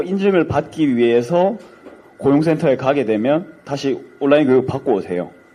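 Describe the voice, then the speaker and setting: The man's tone is dark and mellow. He keeps a moderate pace with lively intonation. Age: young. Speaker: young audience member at party event. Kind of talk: public question at town hall. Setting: event hall with audience, microphone. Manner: hesitant, filler words.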